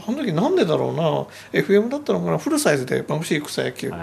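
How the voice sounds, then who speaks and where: Clearly audible background noise under a man's rather brisk delivery. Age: 50s. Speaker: anime film director. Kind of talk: radio interview, casual conversation.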